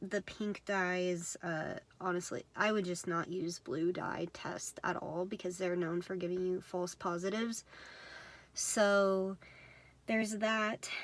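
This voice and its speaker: This woman talks at a medium pitch in a monotone, flat delivery. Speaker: vlogger. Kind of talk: casual talk to camera. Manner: many fillers, uh and um.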